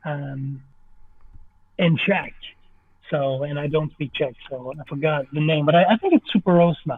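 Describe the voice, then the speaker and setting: With a French Canadian accent, a man talks at a moderate pace and a fairly high pitch, his intonation fairly even, his loudness swinging widely, and long pauses coming often. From French Canada. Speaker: movie director and stop motion artist. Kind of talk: podcast interview answer.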